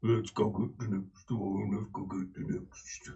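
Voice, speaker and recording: Using a put-on character voice, a man speaks fairly slowly at a fairly low pitch. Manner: gruff, commanding.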